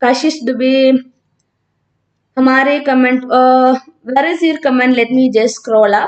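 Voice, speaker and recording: A woman with a South Indian accent speaks with very even loudness and fairly even intonation, leaving long, frequent pauses. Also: fairly slow pace. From Kerala, India (north Kerala village). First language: Malayalam. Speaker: physics teacher. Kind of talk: live online class with student Q&A. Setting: live stream. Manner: hesitant, many fillers.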